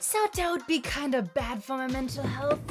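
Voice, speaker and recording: A woman speaks at a fairly quick pace, her pitch swinging very widely. Music plays in the background. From Germany. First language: German. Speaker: vlogger. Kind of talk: vlog narration. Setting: gas station shop.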